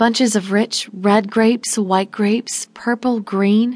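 The intonation stays fairly even throughout this plain reading aloud.

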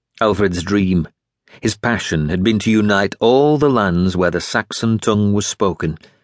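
Quiet background behind an unforced reading voice, its pitch varying in an ordinary way

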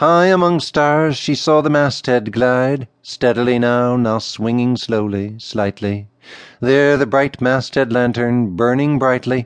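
In a plain, everyday voice, a man speaks fairly slowly, keeping very even loudness and ordinary pitch variation. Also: medium pitch for a man. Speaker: audiobook narrator. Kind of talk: poetry reading aloud, audiobook narration. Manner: measured, lyrical, expressive narration.

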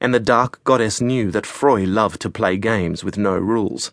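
A man in a normal speaking voice, medium in pitch with ordinary pitch variation, speaks at a moderate pace in a dry, close sound with no echo. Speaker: audiobook narrator.

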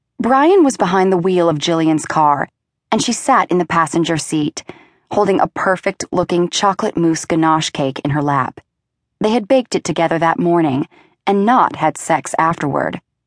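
Lively intonation marks this woman's fairly low voice, a normal speaking voice at a moderate pace. The recording sounds dry and close, with no echo. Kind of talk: audiobook narration. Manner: smooth, even storytelling pace that shifts into quoted dialogue.

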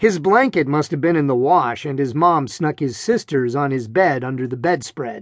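A man speaks in an animated, dramatic tone. He keeps a moderate pace. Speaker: audiobook narrator. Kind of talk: audiobook narration of a children's adventure story, read aloud with character voices. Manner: animated, brisk and dramatic, with comic emphasis and exaggerated yelps; energetic, playful storyteller pace, suspenseful with mock-serious humor.

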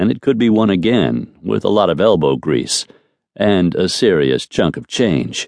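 Heard over a quiet background, a natural reading voice moves with lively intonation.

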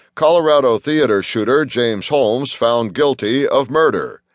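A man with a normal speaking voice, medium in pitch, with ordinary pitch variation, at a moderate pace over a quiet background. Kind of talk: news reading. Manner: formal, even and businesslike, headline-style delivery; brisk, steady, neutral pace.

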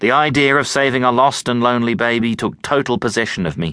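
A natural reading voice comes through. Its intonation stays fairly even.

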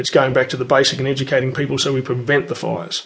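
A man's fairly high voice with an Australian accent at a very fast pace. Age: 40s. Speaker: firefighter. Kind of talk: interview monologue. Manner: hesitant with fillers.

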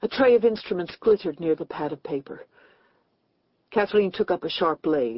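At a moderate pace, a woman with a fairly low voice speaks with long, frequent pauses. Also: lively intonation. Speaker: audiobook narrator. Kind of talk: dramatic unabridged audiobook reading of a suspense thriller. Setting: studio. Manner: tense, hushed storytelling building dread through a death scene.

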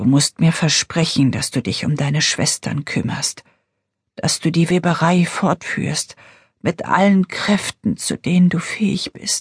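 A woman's whispering, breathy, put-on character voice at a fairly slow pace, with a dry, close sound with no echo. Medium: read story. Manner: urgent, pleading.

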